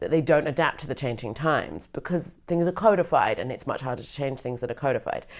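With a British accent and ordinary pitch variation, a woman is heard in a very clean recording with a silent background. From Britain. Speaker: comedian and scholar. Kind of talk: interview conversation.

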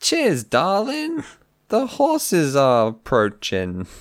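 Speaking very slowly, a man uses a put-on character voice pitched high. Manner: cheery.

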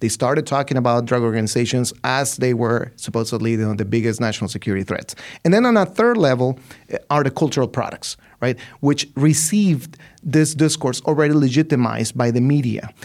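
Male speech, fairly quick, its pitch varying in an ordinary way. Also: medium pitch for a man. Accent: Spanish. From Mexico, Ciudad Juarez. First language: Spanish. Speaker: literature professor and author. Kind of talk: interview.

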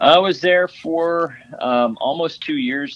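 A man with a Texan accent. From West Texas (Odessa). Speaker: Navy veteran and film production company founder. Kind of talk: interview.

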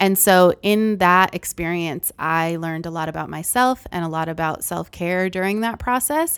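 This woman has an ordinary speaking voice, fairly low in pitch, with an American accent. She talks at a moderate pace with hardly any pauses on a very clean recording with a silent background. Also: ordinary pitch variation. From Massachusetts, US. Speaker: career counselor. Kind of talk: casual interview.

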